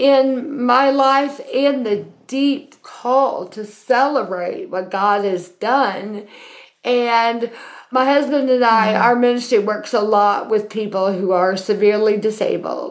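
A woman with a Southern US accent talks at a very slow pace and fairly high pitch, with ordinary pitch variation and audible room echo. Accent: Southern US (Georgia). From US South, Athens, Georgia. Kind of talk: casual chat.

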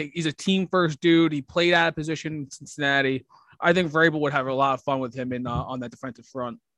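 At a very fast pace, a man talks with fairly high pitch and ordinary pitch variation. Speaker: sports podcast co-host. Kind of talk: casual chat.

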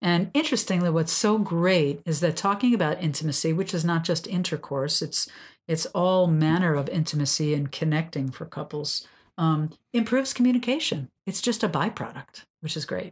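This woman has a fairly low pitch, a somewhat breathy quality and lively intonation at a moderate pace. The recording is very clean, with a silent background. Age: 60s. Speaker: sex and couples therapist, podcast host. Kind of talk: casual educational chat.

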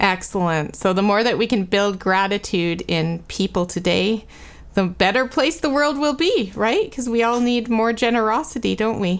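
In a very clean recording with a silent background, a woman with a normal speaking voice talks at a moderate pace, using a fairly high pitch, lively intonation and very even loudness. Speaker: podcast host. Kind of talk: interview conversation.

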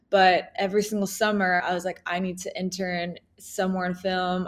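In a very clean recording with a silent background, a woman speaks with an American accent in a monotone, flat intonation. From US, New York City. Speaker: filmmaker and video editor. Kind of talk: casual chat.

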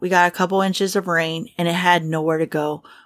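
A woman with an American accent, dry and close with no echo, in a very clean recording over a silent background. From Kentucky. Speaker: podcast co-host. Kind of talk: casual chat. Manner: slow.

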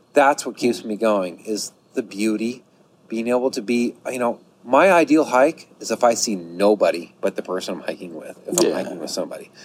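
Against noticeable background noise, a man at a medium pitch talks with big swings in loudness. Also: lively intonation, fairly quick pace. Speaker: hiker. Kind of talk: casual chat. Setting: on location.

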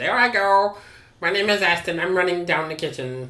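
This is a put-on character voice. It sits at middle pitch and moves at a moderate pace. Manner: silly, playful.

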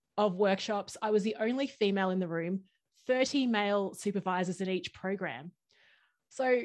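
With an Australian accent, a woman speaks at a medium pitch and ordinary pitch variation. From Brisbane, Australia. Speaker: workshop facilitator, podcast guest. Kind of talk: casual, enthusiastic conversation. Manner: fast talker.

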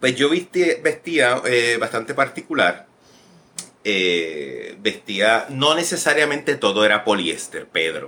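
A man speaks with a Puerto Rican accent. His pace is fairly slow. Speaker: actor and director. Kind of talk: interview. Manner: halting, many fillers and repetitions.

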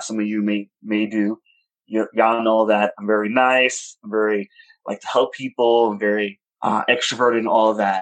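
In a dry, close sound with no echo, a man talks with a fairly low pitch and monotone, flat intonation. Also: moderate pace. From New York, Washington Heights. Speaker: podcast guest. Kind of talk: casual chat.

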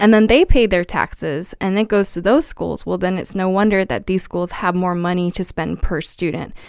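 Using a normal speaking voice, a woman with an American accent speaks at a moderate pace and a medium pitch with ordinary pitch variation and hardly any pauses, in a very clean recording with a silent background. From South Texas border. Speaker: educator who trains teachers. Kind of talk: casual interview conversation. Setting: podcast studio.

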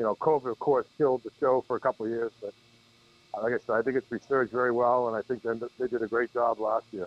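Spoken with a Boston accent, the voice keeps a fairly even intonation. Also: man. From Massachusetts, north of Boston (Peabody). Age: 50s. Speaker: golf professional. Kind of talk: casual chat. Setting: phone call.

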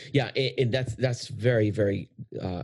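Against a quiet background, a somewhat breathy voice speaks with fairly even intonation. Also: man. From Puerto Rico. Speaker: podcast host. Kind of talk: casual interview conversation.

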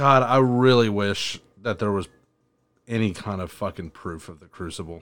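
A man with an unremarkable speaking voice, fairly low pitch, ordinary pitch variation and moderate pace, on a very clean recording with a silent background. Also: big swings in loudness. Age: 20s. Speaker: podcast host. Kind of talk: casual chat.

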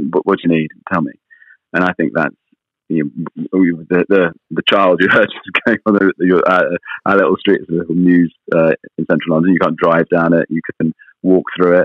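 With a British accent, a man speaks at a moderate pace in a very deep, low, monotone voice with flat intonation. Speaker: magazine editor and radio presenter. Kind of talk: interview. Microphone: slight line delay.

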